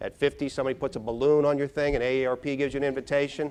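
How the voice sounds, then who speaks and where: A man talks at a very fast pace. His voice sits fairly high in pitch. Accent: American. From Pittsburgh area, Pennsylvania. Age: 50s. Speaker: brain health speaker. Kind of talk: keynote talk. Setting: stage with audience. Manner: animated.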